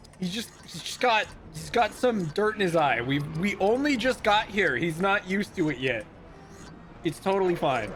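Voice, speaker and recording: Over music in the background, the voice moves at a moderate pace with very wide pitch swings. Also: man, high pitch for a man. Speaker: video game streamer. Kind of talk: casual live-stream gameplay commentary.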